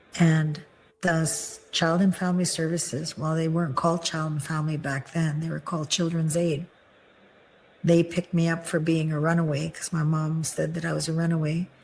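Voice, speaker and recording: A somewhat breathy woman's voice, fairly low in pitch, fairly quick, with monotone, flat intonation. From Manitoba, Canada (Ojibwe First Nation). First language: Ojibwe. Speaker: near-death experiencer. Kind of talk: testimony. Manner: halting.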